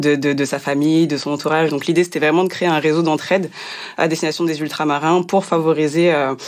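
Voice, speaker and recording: At a fairly quick pace, a woman speaks in a very deep, low voice with monotone, flat intonation. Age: 30s. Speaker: nonprofit regional delegate. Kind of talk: podcast interview. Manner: hesitant, many fillers.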